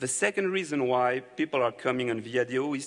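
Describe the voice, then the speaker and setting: This man speaks at a moderate pace. His pitch is medium. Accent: French. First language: French. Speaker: company representative presenting to developers. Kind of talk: conference presentation.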